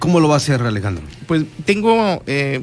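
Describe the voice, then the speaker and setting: A man talks at a fairly slow pace. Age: 40s. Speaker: politician. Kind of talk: radio interview. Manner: halting, with frequent fillers and repetitions.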